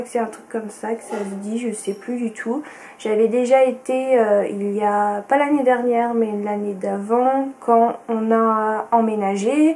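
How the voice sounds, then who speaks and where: Over noticeable background noise, a woman with a fairly high pitch speaks at a very slow pace with fairly even intonation. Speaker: sewing vlogger. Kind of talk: casual vlog talk to camera. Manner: hesitant, many fillers.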